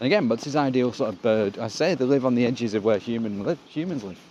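Delivered at a very fast pace with ordinary pitch variation, the speech sits over noticeable background noise. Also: man. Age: 50s. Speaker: comedian. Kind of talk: casual chat.

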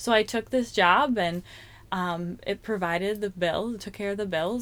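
A woman's plain, everyday voice at medium pitch and a moderate pace. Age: 30s. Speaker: worship leader. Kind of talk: testimony.

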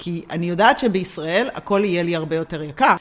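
A woman speaks at a moderate pace with fairly low pitch. It is an ordinary speaking voice. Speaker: podcast co-host. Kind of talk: casual chat.

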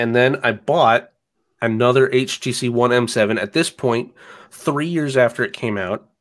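A man with an American accent speaks at a moderate pace in a plain, everyday voice. His pitch is medium, with ordinary pitch variation. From US South. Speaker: phone enthusiast. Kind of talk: casual chat. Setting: video call.

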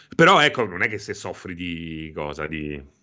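A man's very deep, low voice with a bright, sharp tone at a fairly slow pace. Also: quiet background. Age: 40s. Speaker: video game streamer. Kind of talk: casual chat. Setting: live stream with chat.

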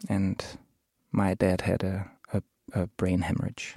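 A man with a Danish accent speaks at a fairly slow pace in a fairly low, dark and mellow voice, recorded dry and close with no echo. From Copenhagen, Denmark. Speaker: musician. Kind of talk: interview.

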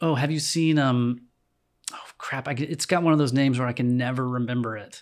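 In a very clean recording with a silent background, a man with an American accent and an unremarkable speaking voice talks at a fairly quick pace, with a medium pitch and fairly even intonation. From North Carolina, Winston-Salem. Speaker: musician and designer. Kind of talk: casual chat.

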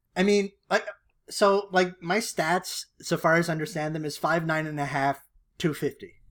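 Recorded very cleanly against a silent background, a man with a high pitch speaks at a moderate pace with fairly even intonation. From Canada. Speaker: podcast co-host. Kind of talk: casual chat.

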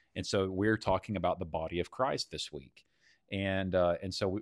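In a Texan accent, a man with a very deep, low voice is captured in a very clean recording with a silent background and a dry, close sound with no echo. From Texas. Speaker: church leader, podcast host. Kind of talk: casual chat.

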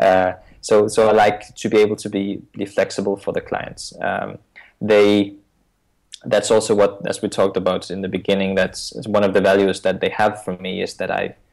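A man speaks at a moderate pace with a Danish accent. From Denmark. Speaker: iOS consultant. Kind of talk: interview. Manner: halting.

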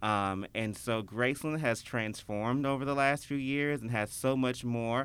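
A man with a Memphis accent speaks at a medium pitch with hardly any pauses, very even loudness and fairly even intonation. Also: moderate pace. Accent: Memphis Southern US. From Memphis, Tennessee (Whitehaven). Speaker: tourism promoter. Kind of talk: casual interview chat.

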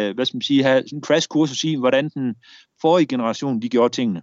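Ordinary pitch variation and a fairly quick pace from a male speaker. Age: 40s. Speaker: war veteran. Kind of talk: interview storytelling. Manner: halting.

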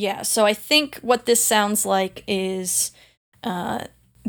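An unforced reading voice with fairly even intonation comes over a quiet background.

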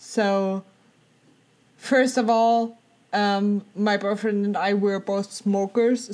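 In a German accent, a woman speaks very slowly in a monotone, flat delivery at a fairly high pitch, recorded very cleanly against silence. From Germany. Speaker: theme park enthusiast, former theme park worker. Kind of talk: casual chat. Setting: call.

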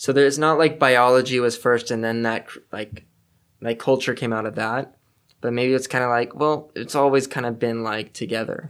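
In a Californian accent, a man speaks at a moderate pace with a medium pitch and fairly even intonation. The recording is very clean, with a silent background. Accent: Californian American English. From Los Angeles, California. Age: 20s. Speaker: student. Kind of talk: casual chat.

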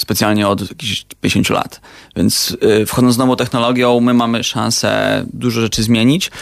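In a plain, everyday voice, a man speaks at a moderate pace with a medium pitch and fairly even intonation. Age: 20s. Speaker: startup co-founder. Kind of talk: radio interview.

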